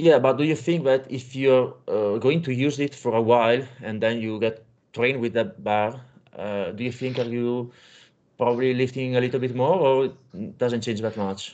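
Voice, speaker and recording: A man with an Italian accent at a moderate pace, with ordinary pitch variation. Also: medium pitch for a man, quiet background. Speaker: powerlifting coach and podcast host. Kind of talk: interview; narrated summary to audience.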